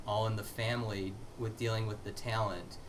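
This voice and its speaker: Somewhat breathy in quality, the speech keeps a moderate tempo. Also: man. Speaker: interview host. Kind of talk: interview host questions.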